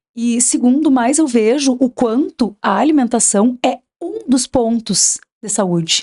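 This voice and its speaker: A woman with a high pitch and a dark, mellow tone speaks at a fairly slow pace. The sound is dry and close, with no echo. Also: ordinary pitch variation. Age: 40s. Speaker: nutritionist. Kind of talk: podcast interview. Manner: agitated.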